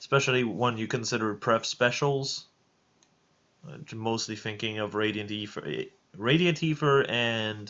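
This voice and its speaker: A man speaks with a French accent at a fairly slow pace. His pitch is medium, with ordinary variation. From France. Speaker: streamer. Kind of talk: live stream chat. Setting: live stream with voice chat. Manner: halting.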